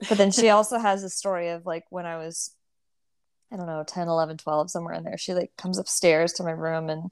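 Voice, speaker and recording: A woman with an American accent and an unremarkable speaking voice talks at a medium pitch and fairly quick pace, with ordinary pitch variation and big swings in loudness, on a very clean recording with a silent background. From Texas. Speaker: country singer. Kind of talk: casual interview.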